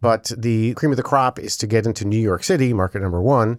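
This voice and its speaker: Speaking fairly quickly with lively intonation, a man has a normal speaking voice at a fairly low pitch, recorded very cleanly against a silent background. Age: 50s. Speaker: radio host and video producer. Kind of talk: casual chat.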